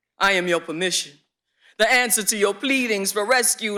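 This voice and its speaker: The man's voice is high, bright and sharp, raised and projected. He keeps a moderate pace. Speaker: slam poet performing. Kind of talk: spoken word poetry performance.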